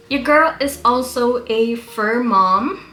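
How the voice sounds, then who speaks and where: There is audible room echo and noticeable background noise around a woman's voice. Her pitch is fairly high, with ordinary variation. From Caribbean island where Papiamento is spoken (ABC islands). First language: Papiamento. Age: 30s. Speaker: beauty YouTuber. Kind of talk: casual chat.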